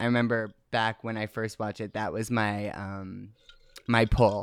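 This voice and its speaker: A man's plain, everyday voice at medium pitch, with ordinary pitch variation, a moderate pace and a very clean recording over a silent background. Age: 20s. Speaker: lip-sync artist. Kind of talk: casual chat.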